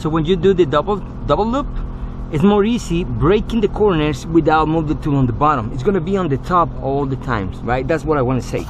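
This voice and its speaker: A man with a non-native accent speaks at a fairly quick pace with lively intonation, amid audible room echo and noticeable background noise. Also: fairly high pitch for a man. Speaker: auto glass technician. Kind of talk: tutorial. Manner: casual.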